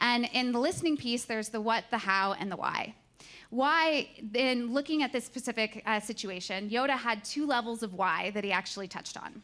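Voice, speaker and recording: The tone is bright and sharp, with ordinary pitch variation. The pace is fairly quick. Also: woman, fairly high pitch for a woman. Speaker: conference speaker. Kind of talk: presentation talk. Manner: fast; halting.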